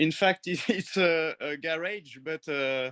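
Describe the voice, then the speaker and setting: A man with a French accent speaks very slowly at a fairly high pitch, with ordinary pitch variation. His tone is bright and sharp, and the sound is dry and close with no echo. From western France, near the sea. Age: 30s. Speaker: painter. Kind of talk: casual interview. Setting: video call from garage studio. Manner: halting.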